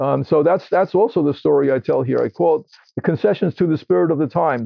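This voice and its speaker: A man with an American accent and a plain, everyday voice talks at a fairly quick pace in a fairly high pitch, with ordinary pitch variation. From New York City (Queens). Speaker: homeopath and author. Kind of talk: interview. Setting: indoors, in a room.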